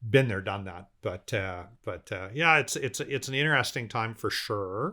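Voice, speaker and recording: Speaking at a moderate pace with lively intonation, this man has a fairly low pitch and a bright, sharp tone on a very clean recording with a silent background. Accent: Canadian. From Canada, Vancouver. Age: 60s. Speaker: business owner. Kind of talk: casual interview chat.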